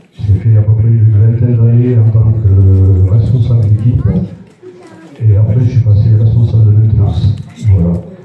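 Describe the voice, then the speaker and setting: At a moderate pace, the voice stays monotone and flat, with very even loudness and long, frequent pauses. Noticeable background noise and audible room echo fill the recording. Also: man, fairly low pitch for a man. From southwest France (Gironde). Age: 60s. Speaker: municipal councillor, retiree. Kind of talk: self-introduction speech at a reception.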